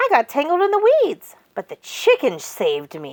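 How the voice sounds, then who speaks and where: This is a put-on character voice that sounds female, pitched high. It moves at a moderate pace. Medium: read story. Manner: enthusiastic.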